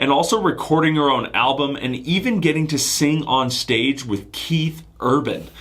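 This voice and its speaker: A man talks at a moderate pace with hardly any pauses, his pitch fairly high and ordinarily varied. Noticeable background noise runs under the recording. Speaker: podcast host. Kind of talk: podcast intro.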